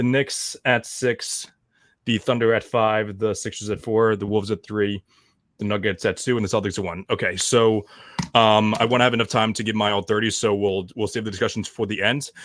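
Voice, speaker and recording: This man speaks in an American accent at a fairly low pitch. His intonation is monotone and flat. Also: fairly quick pace, very clean recording, silent background. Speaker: basketball podcast host. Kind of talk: casual chat. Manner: fast; halting.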